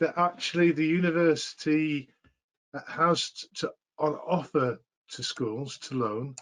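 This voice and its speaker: In a normal speaking voice, a man with a fairly high pitch talks at a fairly slow pace with lively intonation. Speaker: physics teacher trainer. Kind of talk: tutorial.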